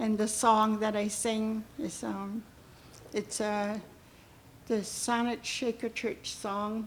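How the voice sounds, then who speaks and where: A woman speaks at a fairly high pitch. Her voice is somewhat breathy. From Malahat Nation, Coast Salish, British Columbia. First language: Halkomelem. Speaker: elder giving a blessing. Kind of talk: ceremonial blessing speech. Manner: halting, with many fillers.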